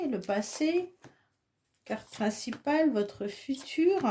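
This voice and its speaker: Very wide pitch swings mark this woman's high-pitched voice as she speaks at a very slow pace. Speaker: tarot reader. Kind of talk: tarot reading. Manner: casual, hesitant with fillers.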